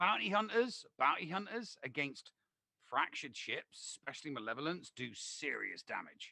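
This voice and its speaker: In a British accent, a man with a bright, sharp tone and vocal fry talks at a moderate pace, his pitch swinging very widely, in a dry, close sound with no echo. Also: fairly high pitch for a man. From Britain. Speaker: gaming co-streamer. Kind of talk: casual gaming live-stream chat.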